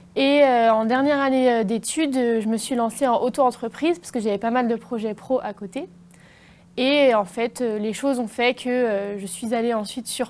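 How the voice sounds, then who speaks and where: Her voice fairly high, a woman talks at a moderate pace with ordinary variation in pitch. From western France, Niort area. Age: 20s. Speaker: fashion designer. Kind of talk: interview. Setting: TV studio. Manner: hesitant, many fillers.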